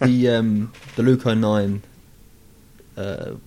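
Here a man with a fairly low pitch and a dark, mellow tone speaks with fairly even intonation. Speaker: football club media officer. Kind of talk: casual chat. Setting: club training ground interview room.

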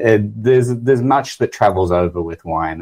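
A man talks with an Australian accent. The background is quiet and the sound is dry and close, with no echo. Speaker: winemaker. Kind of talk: casual interview chat.

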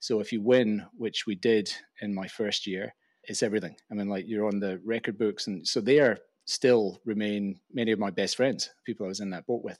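A man's fairly low voice with fairly even intonation at a moderate pace, on a very clean recording with a silent background. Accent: Glaswegian. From Scotland, Glasgow. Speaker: venture investor and podcast host. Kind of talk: interview conversation.

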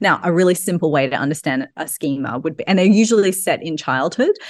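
With an Australian accent, a woman speaks at a fairly low pitch using lively intonation. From Australia, Sydney. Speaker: personal trainer and yoga teacher. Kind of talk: casual interview chat.

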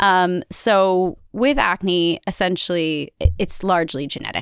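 A woman with an ordinary speaking voice talks at a fairly low pitch with ordinary pitch variation, the sound dry and close with no echo in a very clean recording with a silent background. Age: 40s. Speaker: dermatologist. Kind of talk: expert interview.

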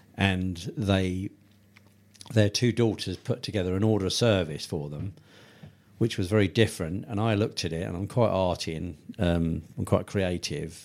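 In a very clean recording with a silent background, a man with a very deep, low voice and a southern English accent speaks at a moderate pace with ordinary pitch variation. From Tunbridge Wells, Kent, England. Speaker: funeral business owner. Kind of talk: interview. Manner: hesitant, many fillers.

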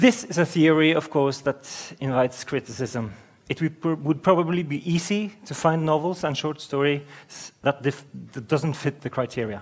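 A man with a Norwegian accent talks at a moderate pace. His pitch is fairly high and varies in an ordinary way. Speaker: interviewer and novelist. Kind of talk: onstage interview. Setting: stage with audience.

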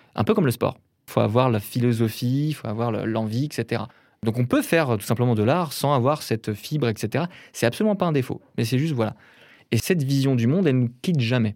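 A man in an ordinary speaking voice at a medium pitch and a fairly quick pace, with ordinary pitch variation, in a very clean recording with a silent background. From Brittany, France. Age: 30s. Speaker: painter. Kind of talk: casual interview conversation.

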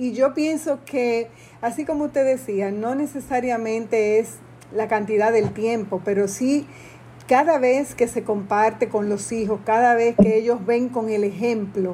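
Speaking at a fairly slow pace, a woman with a fairly high pitch and ordinary pitch variation has an unremarkable speaking voice. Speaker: podcast host. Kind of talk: interview.

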